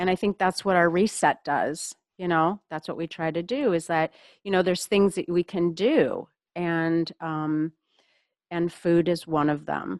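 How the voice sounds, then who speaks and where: A woman speaks in an unremarkable speaking voice, fairly low in pitch, at a fairly slow pace with fairly even intonation. The sound is dry and close with no echo, on a very clean recording with a silent background. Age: 60s. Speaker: podcast host, functional medicine coach. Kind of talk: casual interview chat.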